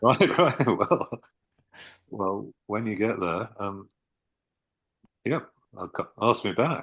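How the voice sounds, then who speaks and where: Delivered at a very slow pace with long, frequent pauses, the voice has lively intonation against a quiet background. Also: man, fairly low pitch for a man. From southern England. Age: 60s. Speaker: author. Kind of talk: interview.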